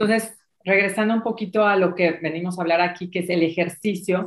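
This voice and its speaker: A woman talks in a normal speaking voice at a moderate pace, her fairly low pitch carried with fairly even intonation. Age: 50s. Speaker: dancer and fitness instructor. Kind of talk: interview conversation.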